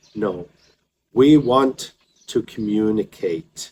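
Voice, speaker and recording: A man with a Scottish accent speaks very slowly in a dark, mellow tone, his pitch varying in an ordinary way. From Scotland. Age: 50s. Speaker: English teacher. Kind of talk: tutorial.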